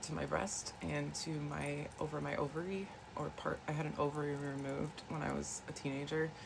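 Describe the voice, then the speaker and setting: A soft-spoken woman talks with noticeable background noise. Some room echo can be heard. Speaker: wellness vlogger. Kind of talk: casual chat. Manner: hesitant, many fillers.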